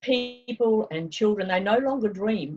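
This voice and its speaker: A woman's somewhat breathy voice with lively intonation and a New Zealand accent. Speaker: travel consultant. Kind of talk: interview. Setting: video call.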